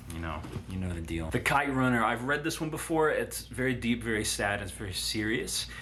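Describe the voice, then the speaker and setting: A fairly low-pitched man's voice with very wide pitch swings, audible room echo and noticeable background noise. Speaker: booktuber. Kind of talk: casual monologue. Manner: fast; halting.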